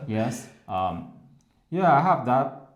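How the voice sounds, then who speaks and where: A man in a Chinese accent, very slow in pace, lively in intonation, with audible room echo. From China. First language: Mandarin Chinese. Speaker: English teacher. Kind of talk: interview. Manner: halting.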